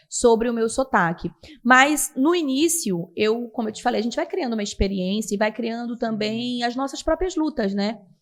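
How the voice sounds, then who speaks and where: A woman's high-pitched voice in a strong Pará accent, lively in intonation, at a moderate pace. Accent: strong Belém (Pará). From Brazil, Belém (Pará). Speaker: TV news presenter. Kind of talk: podcast interview.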